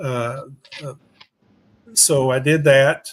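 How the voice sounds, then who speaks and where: This man speaks in a fairly high voice with fairly even intonation. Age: 60s. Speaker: haunted attraction actor and convention co-owner. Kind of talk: casual interview chat. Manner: halting, many fillers and repeats.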